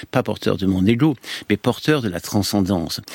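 Fairly slow delivery with very wide pitch swings in a dry, close sound with no echo. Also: man. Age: 70s. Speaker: orthodox monk and priest. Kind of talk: radio interview. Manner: halting.

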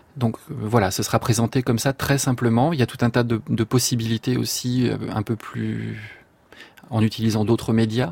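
A man speaks at a moderate pace in a somewhat breathy voice, the sound dry and close with no echo. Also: medium pitch for a man, fairly even intonation. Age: young. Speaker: composer. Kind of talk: radio interview.

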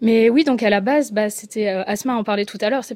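In a very clean recording with a silent background, a woman talks at a very fast pace and medium pitch with ordinary pitch variation. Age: 20s. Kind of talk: radio panel discussion.

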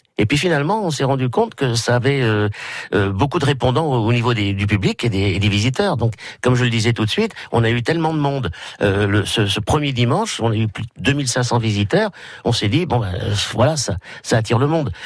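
The man talks at a fairly quick pace and medium pitch. His intonation is lively and his loudness very even. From Brittany. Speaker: village festival committee member. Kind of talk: radio interview. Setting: radio studio. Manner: halting.

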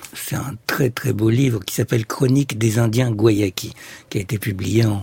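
A man with a medium pitch. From Egypt. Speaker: ethnopsychiatrist. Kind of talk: radio interview.

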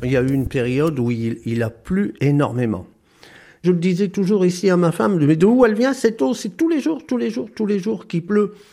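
A man talks at a moderate pace in a high pitch that makes very wide swings. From northern France, Pas-de-Calais. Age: 70s. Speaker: retired hairdresser, flood victim. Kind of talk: testimony.

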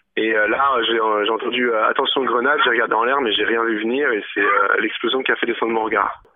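At a fairly quick pace, a man talks in a medium pitch with monotone, flat intonation and very even loudness, over noticeable background noise. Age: 20s. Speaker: injured protester. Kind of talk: testimony. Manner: halting.

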